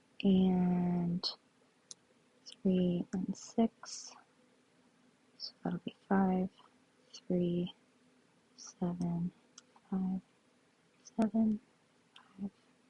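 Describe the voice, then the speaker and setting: A woman speaks at a very slow pace with long, frequent pauses, her dark, mellow tone somewhat breathy and her intonation monotone and flat. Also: medium pitch for a woman. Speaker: sudoku puzzle solver. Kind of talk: tutorial. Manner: slower than usual.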